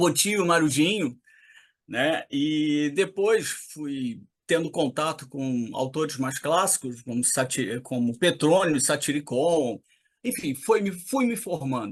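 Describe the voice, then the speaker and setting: Against a quiet background, a man with a fairly high pitch speaks very slowly, with lively intonation. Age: 60s. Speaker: poet. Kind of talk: interview.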